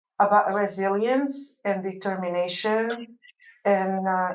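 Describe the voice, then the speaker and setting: A woman at medium pitch speaks at a fairly slow pace with fairly even intonation, and audible room echo surrounds her voice. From Lebanon. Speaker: medical device clinical research executive. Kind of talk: interview. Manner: halting.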